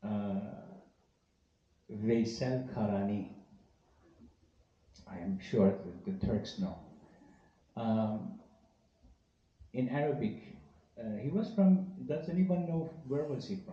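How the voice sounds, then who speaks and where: In a Persian accent, a man speaks very slowly and somewhat breathily at a medium pitch, his dark, mellow tone swinging very widely in pitch, with long, frequent pauses and audible room echo. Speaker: Sufi teacher. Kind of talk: talk to a live audience. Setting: event hall with audience, live-streamed.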